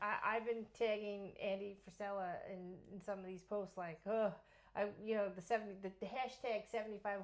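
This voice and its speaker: A woman with an American accent speaks at a medium pitch and moderate pace. Her intonation is monotone and flat. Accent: Long Island accent, comes in and out. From Long Island, New York. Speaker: real estate agent and podcast host. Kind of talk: casual chat. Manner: halting.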